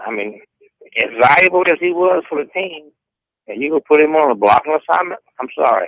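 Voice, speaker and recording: A man speaks with a Southern US accent at a fairly quick pace. His pitch is fairly high. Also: dry, close sound with no echo. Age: 60s. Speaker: caller. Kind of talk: radio call-in.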